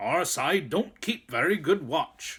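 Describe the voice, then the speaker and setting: A man puts on a gruff character voice with a high pitch and a fairly slow pace. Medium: read story. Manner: muttering, gruff.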